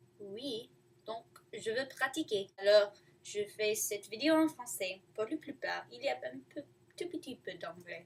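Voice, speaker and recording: Very slowly and with vocal fry, a woman talks with big swings in loudness. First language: not French (learner) (speaking French). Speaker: student vlogger. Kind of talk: casual video diary. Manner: halting.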